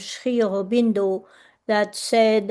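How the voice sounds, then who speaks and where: Against a quiet background, a woman with a French accent and a dark, mellow tone speaks very slowly with fairly even intonation. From France. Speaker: artist and workshop facilitator. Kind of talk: presentation talk. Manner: hesitant, many fillers.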